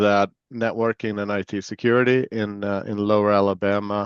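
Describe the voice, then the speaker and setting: A man's fairly low voice with an American accent, fairly even intonation and a moderate pace, dry and close with no echo, over a quiet background. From Sweden. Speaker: chief information security officer, former Marine. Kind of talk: interview. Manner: casual with many fillers.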